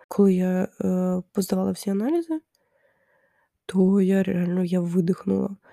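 At a moderate pace with long, frequent pauses, a woman speaks at a medium pitch with a dark, mellow tone and fairly even intonation, in a very clean recording with a silent background. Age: 20s. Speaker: podcast host. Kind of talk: casual monologue. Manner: hesitant, many fillers.

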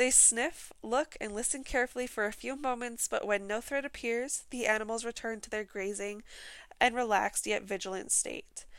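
On a very clean recording with a silent background, a woman with a normal speaking voice talks at a moderate pace, fairly high in pitch and fairly even in intonation. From British Columbia, Canada. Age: 20s. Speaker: podcast host. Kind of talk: casual solo podcast chat; reading documentary-style narration near 18:22. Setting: home recording. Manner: rambling, self-interrupting, chatty.

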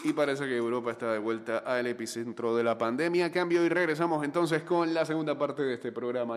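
Noticeable background noise accompanies a fairly high-pitched man speaking at a moderate pace with ordinary pitch variation. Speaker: radio host. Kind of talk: morning radio show with news and sports commentary. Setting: studio broadcast, also streamed live.

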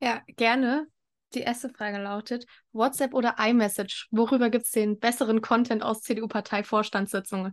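A woman with an ordinary speaking voice and a fairly high pitch talks at a moderate pace with fairly even intonation against a quiet background. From eastern Germany (Thuringia). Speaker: podcast host. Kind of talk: casual interview.

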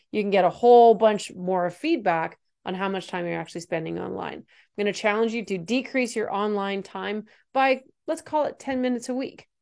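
A woman with a medium pitch talks at a fairly quick pace with lively intonation, in an ordinary speaking voice. The recording is very clean, with a silent background. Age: 40s. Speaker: high performance coach and podcast host. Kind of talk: solo podcast monologue.

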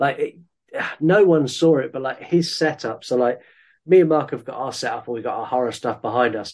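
Someone with an English accent talks at a fairly quick pace with ordinary pitch variation over a quiet background. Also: man, fairly high pitch for a man. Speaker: podcast host. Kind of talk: casual chat. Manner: animated.

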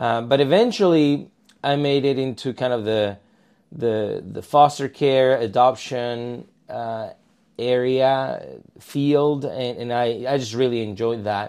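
In a Spanish accent, a man speaks very slowly at a medium pitch with fairly even intonation. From southern Spain (Malaga). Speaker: counselor. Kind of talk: casual interview. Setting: office.

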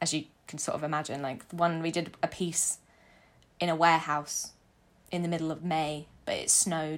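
On a very clean recording with a silent background, a woman with a southern English accent talks at a moderate pace. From southern England (North London, then East Sussex). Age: 20s. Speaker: interview guest. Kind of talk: casual interview.

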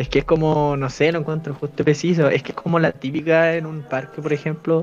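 Fairly quick talk from a man over noticeable background noise. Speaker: podcast co-host. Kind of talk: casual chat.

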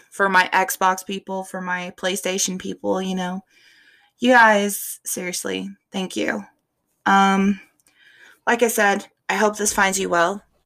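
A woman speaks at a medium pitch and a fairly slow pace, with long, frequent pauses and a bright, sharp tone. Her intonation is monotone and flat, on a very clean recording with a silent background. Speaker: podcast host, mom. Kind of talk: casual solo chat. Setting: home recording. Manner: hesitant, many fillers.

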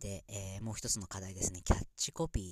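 This man's voice is somewhat breathy. He talks at a very fast pace. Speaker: podcast host. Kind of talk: casual solo audio broadcast. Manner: halting, filler-heavy; warm, enthusiastic.

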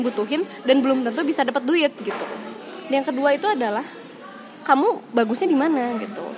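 With music playing in the background, a woman speaks at a fairly quick pace in a high pitch. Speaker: podcast co-host and teacher. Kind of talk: casual chat.

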